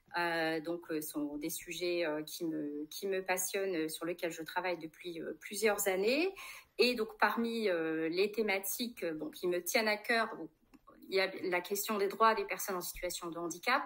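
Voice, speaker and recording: In a normal speaking voice, a woman talks at a fairly slow pace and a medium pitch, with ordinary pitch variation. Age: 40s. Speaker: politician, candidate. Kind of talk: interview. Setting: livestream.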